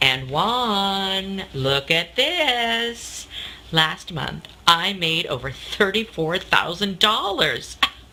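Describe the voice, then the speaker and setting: A woman's medium-pitched voice with very wide pitch swings, over noticeable background noise. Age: 60s. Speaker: customer testimonial giver. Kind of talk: testimony.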